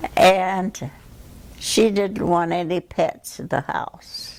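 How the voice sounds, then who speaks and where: A woman with a Midwestern accent, medium in pitch, speaking at a very slow pace. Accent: American Midwest. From Kansas City, Missouri. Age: 80s+. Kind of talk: interview answer.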